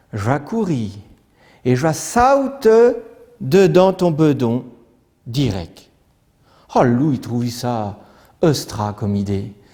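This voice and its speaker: A man's medium-pitched voice with a dark, mellow tone, very wide pitch swings, a very slow pace and long, frequent pauses. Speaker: storyteller. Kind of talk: traditional folk tale telling.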